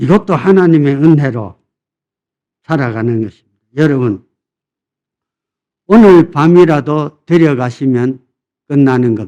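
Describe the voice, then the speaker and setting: Lively in intonation, a man with a medium pitch and a dark, mellow tone speaks at a fairly slow pace. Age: 80s+. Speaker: senior pastor. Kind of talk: sermon. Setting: church. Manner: animated, call-and-response with congregation.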